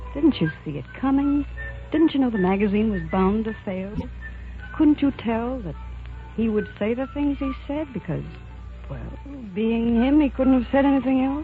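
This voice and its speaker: Lively intonation from a woman with a fairly high pitch, a moderate pace and long, frequent pauses, with music in the background. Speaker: actress playing the lead character in a dramatized film. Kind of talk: radio drama, acted dialogue.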